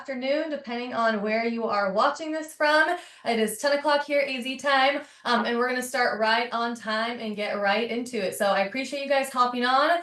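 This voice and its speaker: In a room with audible echo, a woman talks at a high pitch with ordinary pitch variation. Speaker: real estate agent. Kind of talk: webinar training. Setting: video call with screen share. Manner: fast.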